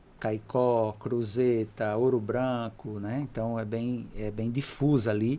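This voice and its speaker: Very slowly and with hardly any pauses, a man speaks at a medium pitch in a dark, mellow tone. His intonation is monotone and flat. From Brazil, Seridó sertão, Rio Grande do Norte. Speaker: geography professor. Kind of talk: podcast interview.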